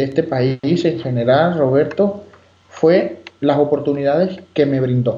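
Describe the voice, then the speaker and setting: Here a man talks in a fairly high voice with ordinary pitch variation. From Venezuela, Margarita Island. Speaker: immigration lawyer. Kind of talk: interview. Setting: phone call. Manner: halting, many fillers.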